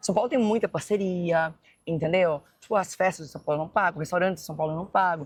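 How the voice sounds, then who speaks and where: A woman at a medium pitch, speaking at a very fast pace. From Goiás, Brazil (Goiânia). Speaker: influencer. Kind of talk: casual chat. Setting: walking while filming.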